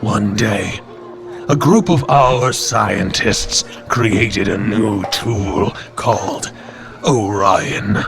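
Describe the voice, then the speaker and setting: Over clear background music, a man at medium pitch does a put-on character voice at a very slow pace. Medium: audio drama. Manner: measured, solemn.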